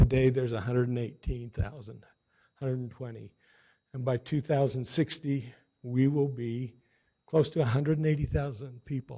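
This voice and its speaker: A somewhat breathy man talks at a moderate pace. His medium pitch follows a fairly even intonation. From Utah. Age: 60s. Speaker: city council member. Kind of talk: inauguration speech.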